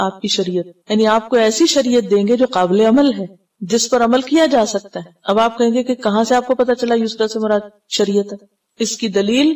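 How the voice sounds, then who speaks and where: A woman speaks with a fairly high pitch. Her pitch varies in an ordinary way. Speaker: Islamic scholar, Quran teacher. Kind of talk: religious lecture, Quran tafsir class. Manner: clear articulation.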